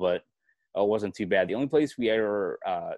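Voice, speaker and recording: A man is heard in a dry, close recording with no echo and a quiet background. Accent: Boston. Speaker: sports journalist. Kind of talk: podcast interview answer.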